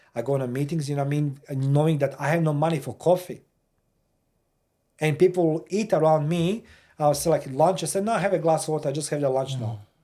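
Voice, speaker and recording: Showing a Croatian accent, a man talks with a dark, mellow tone at a fairly high pitch and with ordinary pitch variation. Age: 50s. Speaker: war veteran. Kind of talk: casual chat. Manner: halting.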